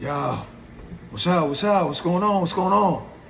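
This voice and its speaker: Speaking in a New York accent, a man uses lively intonation and a relaxed tone, with audible room echo. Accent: New York hip hop. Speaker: hip hop artist telling stories. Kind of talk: storytelling monologue. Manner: halting, self-interrupting; relaxed, casual.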